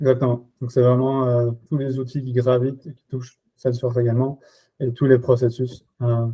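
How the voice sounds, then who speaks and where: A man speaks at medium pitch and a moderate pace, in a dark, mellow, somewhat breathy tone. His intonation is flat and monotone, with big swings in loudness. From Belgium. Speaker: RevOps and Salesforce expert. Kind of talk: podcast interview. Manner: hesitant, many fillers.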